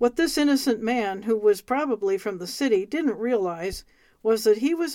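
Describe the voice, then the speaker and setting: Here is a woman with an American accent and an ordinary speaking voice. Her pitch is fairly high, her intonation lively, and the recording very clean with a silent background. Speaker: radio host reading a book. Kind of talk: reading aloud.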